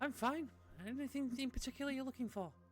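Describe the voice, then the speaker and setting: A put-on character voice, squeaky and high in pitch, rattles along at a very fast pace. Background noise is clearly audible. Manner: friendly, welcoming.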